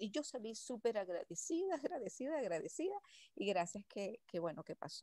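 A woman's dark, mellow tone with very wide pitch swings, dry sound with no echo and a quiet background. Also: fairly quick pace. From Venezuela. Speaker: workshop participant. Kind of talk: personal testimony. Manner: halting. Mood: reflective, grateful. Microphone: video call.

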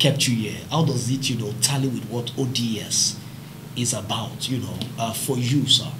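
A man talks at a moderate pace with a Nigerian accent. His pitch is medium, and there is noticeable background noise. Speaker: summit co-convener and moderator. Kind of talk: panel discussion. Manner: animated. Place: studio.

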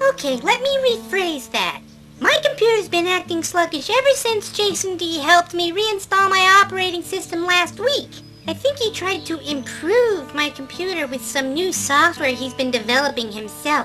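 Clear music plays behind a cartoonish character voice with an extremely high pitch and very wide pitch swings. The pace is moderate. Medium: puppet show. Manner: dry, sarcastic, grumbling.

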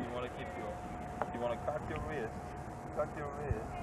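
A man keeps a moderate pace despite loud background noise. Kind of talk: casual family chat and instructions. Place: open country. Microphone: old recording.

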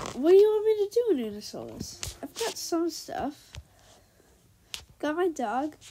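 Extremely high in pitch, a woman speaks at a fairly slow pace with very wide pitch swings, big swings in loudness, and long, frequent pauses. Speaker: gaming youtuber. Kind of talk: gameplay commentary. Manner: animated.

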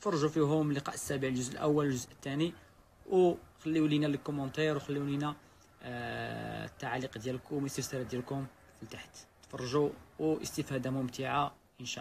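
A man's fairly even intonation and moderate pace come through over light background noise. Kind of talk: casual vlog chat. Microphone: phone near.

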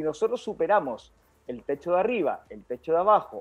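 This man speaks with lively intonation. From Chile, Maule region (Linares). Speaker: medical doctor. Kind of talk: health talk show interview, explanatory. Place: home room. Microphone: video call.

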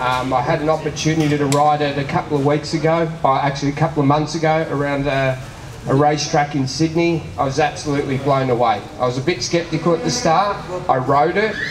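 A man at a very fast pace, with fairly even intonation, very even loudness and noticeable background noise. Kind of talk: speech to an audience at a product launch.

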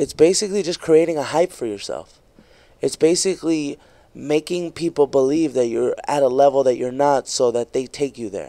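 Talking at a fairly quick pace yet with long, frequent pauses, a man has a fairly high, dark and mellow voice with ordinary pitch variation. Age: 20s. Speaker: stand-up comedian; comedian podcast guest. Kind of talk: casual chat. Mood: relaxed, opinionated. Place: studio. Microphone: studio mic.

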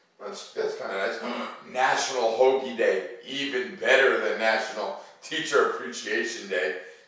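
A man's fairly low voice, bright and sharp in tone, at a fairly slow pace with ordinary pitch variation and strong room echo.

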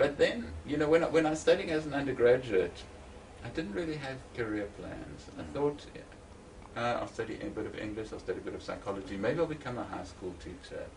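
Fairly quick, lively speech from a fairly high-pitched man, with big swings in loudness, audible room echo and noticeable background noise. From South Africa, Eastern Cape. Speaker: psychology academic. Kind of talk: interview. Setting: at home.

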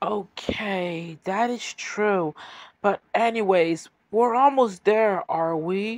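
Delivered at a very slow pace, the voice is a put-on character voice. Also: man, high pitch for a man. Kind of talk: audio drama dialogue.

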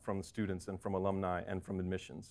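With an American accent, a man speaks over a quiet background. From North Carolina. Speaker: MBA student; speaker. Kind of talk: speech to audience. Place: hall. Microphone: lapel.

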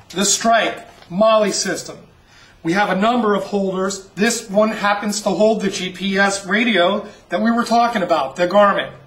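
The talking holds a moderate pace, with background noise noticeable behind it. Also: man, high pitch for a man. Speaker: auction promoter / host. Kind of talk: auction promo, sales pitch narration. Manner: upbeat, salesy.

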